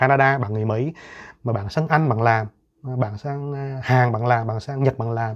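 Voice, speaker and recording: Over a quiet background, a man speaks at a moderate pace. His medium pitch shows ordinary variation. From Vietnam. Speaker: YouTuber. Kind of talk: monologue. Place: home room.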